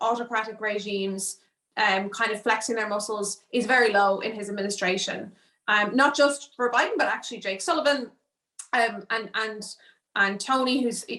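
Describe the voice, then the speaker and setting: In an Irish accent, a woman speaks at a fairly high pitch and a moderate pace, with a bright, sharp tone and ordinary pitch variation. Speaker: political risk analyst. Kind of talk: panel discussion. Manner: halting with repetitions.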